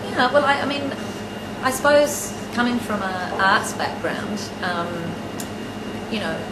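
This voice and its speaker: Loud background noise fills the clip. The speaking pace is fairly slow. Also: woman. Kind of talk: interview answer. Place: office.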